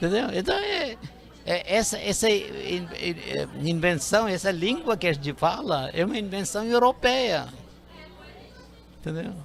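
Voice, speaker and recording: With music in the background and audible room echo, a high-pitched man speaks at a fairly slow pace with lively intonation and long, frequent pauses. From India. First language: Indian languages and English (speaking Portuguese). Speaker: linguistics professor. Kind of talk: interview. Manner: halting.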